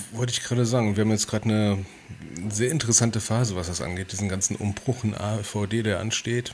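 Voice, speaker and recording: Somewhat breathy speech at a very fast pace, with fairly even intonation. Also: man, fairly low pitch for a man. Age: 30s. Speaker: podcast co-host, civil servant. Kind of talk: casual chat. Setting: livestream video call.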